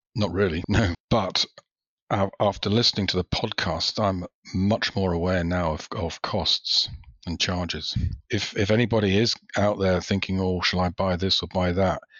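A man's very deep, low voice at a moderate pace, flat and monotone in intonation. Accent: British. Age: 50s. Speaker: retail investor, podcast listener. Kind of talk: casual interview.

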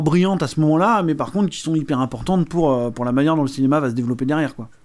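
A very clean recording over a silent background, with a man talking very fast. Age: 30s. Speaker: film podcast co-host. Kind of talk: casual chat. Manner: halting.

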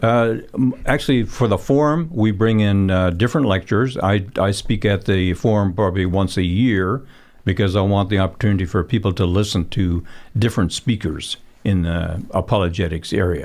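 A man's fairly low voice at a moderate pace, with very even loudness and ordinary pitch variation. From Canada (immigrated from the Netherlands at five). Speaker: physicist and creation apologist. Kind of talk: radio interview. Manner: halting, many fillers.

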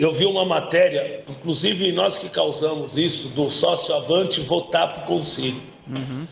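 Noticeable background noise behind a man's fairly slow speech. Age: 50s. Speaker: football supporters' group president. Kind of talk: podcast interview.

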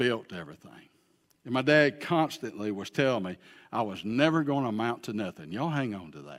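This man talks at a fairly quick pace in an Alabama accent, with a medium pitch, very wide pitch swings and big shifts in loudness. The recording is very clean, with a silent background. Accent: Southern US (Alabama). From US South, Alabama. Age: 60s. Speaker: pastor. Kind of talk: sermon. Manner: animated.

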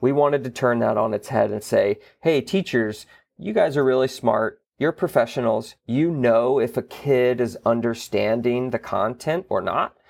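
An unremarkable speaking voice from a man with an American accent, medium pitch and ordinary pitch variation at a moderate pace, on a very clean recording with a silent background. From US South, Florida Panhandle. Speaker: theater executive director. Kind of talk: interview.

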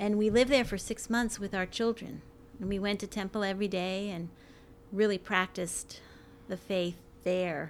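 An ordinary speaking voice at a moderate pace. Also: woman. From New York. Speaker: university librarian. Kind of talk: casual interview.

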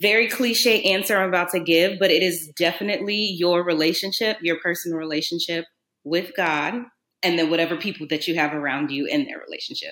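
In a normal speaking voice with an American accent, the speaker moves at a fairly quick pace with ordinary pitch variation. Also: woman. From New Orleans, US South. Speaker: naturopathic doctor. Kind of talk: casual chat.

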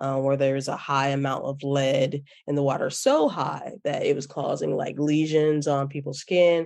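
A woman with an American accent speaks at a very deep, low pitch. Her pace is fairly slow. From US Midwest, Chicago. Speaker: poet and educator. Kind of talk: interview. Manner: halting, many fillers.

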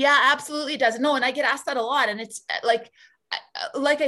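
In a very clean recording with a silent background, a woman with an Albertan accent talks in a bright, sharp tone with ordinary pitch variation. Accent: Canadian (Albertan). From rural Alberta, Canada. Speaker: politician, former teacher. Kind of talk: interview conversation. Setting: podcast recording.

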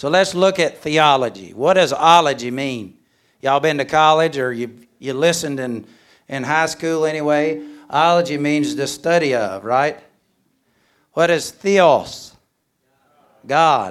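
A man's fairly high voice with a Southern US accent, fairly slow and broken by long, frequent pauses, ordinary pitch variation, in a very clean recording with a silent background. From Alabama, US South. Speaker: missionary and speaker. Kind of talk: sermon. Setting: church chapel with audience. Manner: humorous, jokes.

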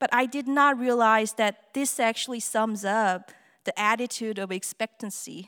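In a Korean accent, a woman speaks at a fairly slow pace with a high pitch, lively intonation, and a bright, sharp tone. The recording is very clean, with a silent background and a dry, close sound with no echo. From South Korea. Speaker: theater artist and musician. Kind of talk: personal talk to an audience. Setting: stage with audience.

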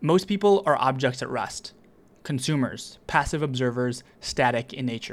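A plain, everyday voice from a man at medium pitch, moderate pace and ordinary pitch variation, on a very clean recording with a silent background. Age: 20s. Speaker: writer reading own essays as podcast. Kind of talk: scripted narration. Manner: measured, read-aloud delivery.

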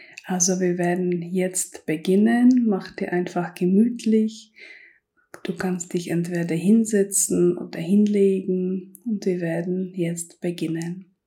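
At a very slow pace, a woman speaks in a soothing, calm tone that is dark and mellow. Her medium pitch stays in fairly even intonation. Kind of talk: guided meditation. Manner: slow, soft and soothing, calm; gentle second-person address, with pauses.

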